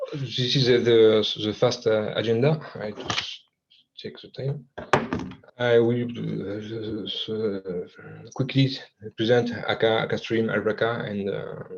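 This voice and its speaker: In a slight French accent, a man of medium pitch speaks at a very slow pace with fairly even intonation. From France. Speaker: software developer presenter. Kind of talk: technical presentation. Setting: video call. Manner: halting, many fillers and repetitions.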